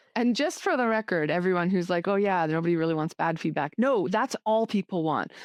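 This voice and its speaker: A normal speaking voice with a Canadian accent, lively intonation and very even loudness, on a dry, close sound with no echo and a quiet background. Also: woman. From Canada. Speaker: leadership coach. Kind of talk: interview conversation.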